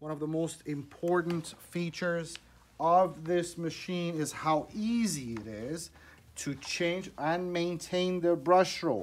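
At a slow pace, a man speaks in a fairly high pitch with ordinary pitch variation.

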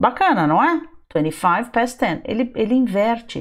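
A woman speaks against a quiet background. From Brazil. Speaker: English teacher. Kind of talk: online lesson for sixth graders. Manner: animated. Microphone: webcam.

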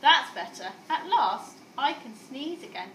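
Amid audible room echo, a woman does a put-on character voice at a high pitch with big pitch swings and a fairly bright tone. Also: fairly slow pace.

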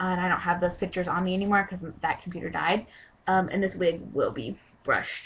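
Very fast talk comes from a woman at a medium pitch. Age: 20s. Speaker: cosplayer auditioning for a voice role. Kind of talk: audition video monologue. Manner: hesitant, many fillers; bubbly, hyper. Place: home room. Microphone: webcam.

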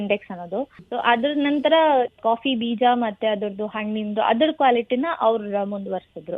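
This woman has a plain, everyday voice. Her pitch sits fairly high. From Hassan, Karnataka, India. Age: 20s. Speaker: agriculture graduate, gold medalist. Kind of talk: radio interview.

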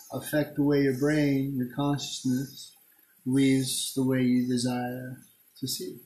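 A somewhat breathy voice with a dark, mellow tone speaks in a monotone with flat intonation at a fairly slow pace, with audible room echo. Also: man. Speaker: self-filming vlogger. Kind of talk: freeform philosophical rambling, semi-rhymed. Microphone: phone near.

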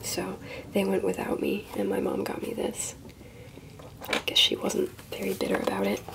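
Whispering in a relaxed tone with an American accent, a woman keeps a moderate pace broken by long, frequent pauses. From Ohio, USA. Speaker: collector. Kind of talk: softly spoken ASMR show-and-tell. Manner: soft-spoken, relaxed, casual. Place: home room.

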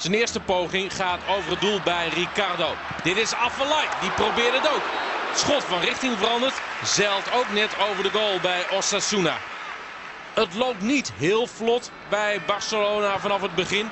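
Over crowd noise in the background, a man with a high pitch talks fairly slowly, with ordinary pitch variation and very even loudness. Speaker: football commentator. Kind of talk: live football commentary over match highlights. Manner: fluent, informed and analytical, mixing match context with action.

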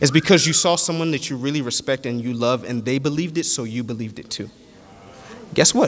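Fairly quick speech from a man against noticeable background noise. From Nigeria (Yoruba). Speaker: preacher. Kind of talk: sermon. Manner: animated.

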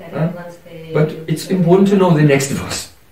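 With light background noise and audible room echo around him, a man talks at a moderate pace. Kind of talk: devotional lecture. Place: home room.

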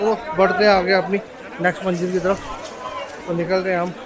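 Over faint crowd noise and faint background noise, a man speaks at a high pitch and a moderate pace, with little pitch movement.

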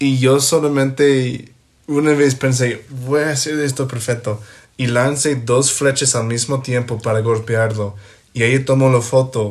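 A man with an English accent speaks fairly slowly at a medium pitch, his delivery flat and monotone with a somewhat breathy quality. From US, Ohio. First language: English (speaking Spanish). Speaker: podcast guest, host's best friend. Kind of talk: casual chat. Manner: halting.

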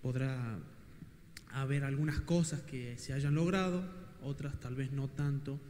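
A man talks at a fairly slow pace in a fairly high pitch, using fairly even intonation. Long, frequent pauses break up his speech over light background noise. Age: young. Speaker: audience member. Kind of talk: audience question. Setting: event hall with audience. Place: hall. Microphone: handheld.

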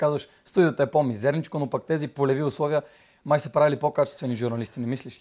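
A man speaks very fast at a fairly high pitch, with ordinary pitch variation and big swings in loudness against a quiet background. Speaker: student TV host. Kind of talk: interview. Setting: studio. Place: studio.

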